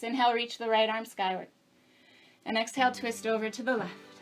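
Fairly quick in pace, a woman with an unremarkable speaking voice talks at a fairly high pitch. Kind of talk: guided yoga class, cueing poses and breath. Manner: calm, clear, instructional, with light humor.

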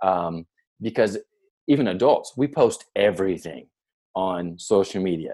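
A man speaks with a dark, mellow tone, a fairly low pitch and lively intonation. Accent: American. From US South, near Nashville, Tennessee. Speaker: podcast host, education consultant. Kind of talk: casual chat.

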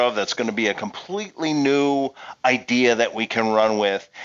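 Lively intonation marks this man's medium-pitched voice. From Pennsylvania. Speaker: game project lead. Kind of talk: casual interview.

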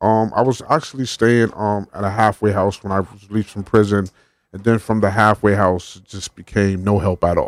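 Speaking at a fairly quick pace in an unremarkable speaking voice, a man with an American accent keeps a fairly low pitch and fairly even intonation, in a very clean recording with a silent background. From Connecticut, New Haven. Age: 40s. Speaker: homeless advocate. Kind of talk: radio interview. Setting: radio studio.

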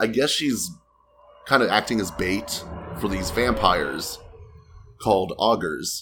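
A man speaks with an American accent. He goes fairly slowly, with long, frequent pauses. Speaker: podcast co-host. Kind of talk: casual chat.

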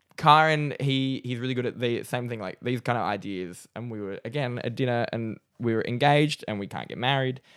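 A man with an Australian accent speaks at a fairly quick pace and medium pitch, with hardly any pauses. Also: ordinary pitch variation. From Newcastle, Australia. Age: 20s. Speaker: comedian. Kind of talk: casual chat.

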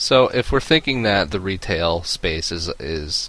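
A man speaks with ordinary pitch variation. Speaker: gaming podcast co-host. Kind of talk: casual chat. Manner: grad student tone of voice.

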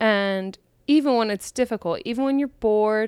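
Recorded with a dry, close sound and no echo, a woman speaks in an ordinary speaking voice with ordinary pitch variation. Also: very clean recording, silent background. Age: 30s. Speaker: podcast host and comedian. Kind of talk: casual solo chat. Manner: relaxed, frequent laughter.

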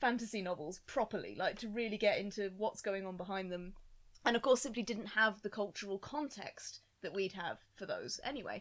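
A woman with an ordinary speaking voice talks at a fairly quick pace, medium in pitch, with ordinary pitch variation. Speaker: podcast guest. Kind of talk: casual chat.

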